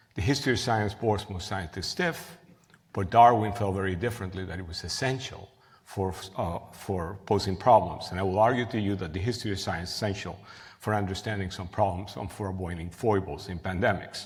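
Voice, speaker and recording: A man with a Cuban accent speaks in a fairly low pitch, somewhat breathy. Room echo is audible. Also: ordinary pitch variation, fairly quick pace. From Cuba, then Queens, New York from age eleven. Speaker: professor and researcher. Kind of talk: lecture. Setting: stage with audience. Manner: halting, with frequent fillers and restarts.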